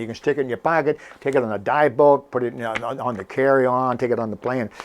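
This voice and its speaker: A man speaks at a very fast pace. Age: 70s. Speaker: scuba diving instructor and video host. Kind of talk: casual tutorial to camera. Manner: conversational, with many fillers and restarts.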